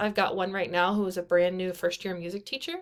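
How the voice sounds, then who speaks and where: A woman with a Midwestern American accent, over noticeable background noise. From US Midwest, eastern Kansas. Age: 20s. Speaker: band director and graduate student. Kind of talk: recorded class presentation. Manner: casual, with frequent fillers.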